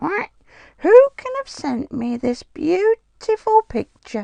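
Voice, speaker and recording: A squeaky, female-sounding put-on character voice at an extremely high pitch, with very wide pitch swings and a very slow pace. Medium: read story.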